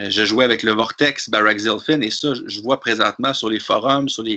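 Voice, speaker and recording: A man with a Quebec accent, medium in pitch, with ordinary pitch variation, a bright, sharp tone and a moderate pace. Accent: Québécois French. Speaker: tabletop wargame player. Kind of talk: casual discussion. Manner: hesitant with frequent repetitions.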